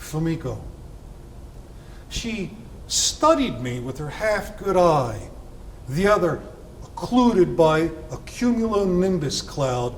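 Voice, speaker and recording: Over noticeable background noise, a high-pitched man speaks at a very slow pace with very wide pitch swings and long, frequent pauses. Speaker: poet. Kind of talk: poetry reading.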